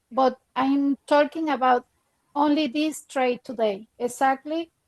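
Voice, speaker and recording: With a non-native accent, a woman speaks in a high pitch and fairly even intonation, the sound dry and close with no echo. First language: not English. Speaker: trading student. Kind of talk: casual chat. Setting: video call. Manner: halting.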